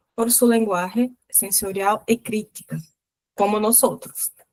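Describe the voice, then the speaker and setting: At a fairly slow pace, a woman speaks with a Portuguese accent. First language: Portuguese (speaking Spanish). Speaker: book club host. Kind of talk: reading aloud.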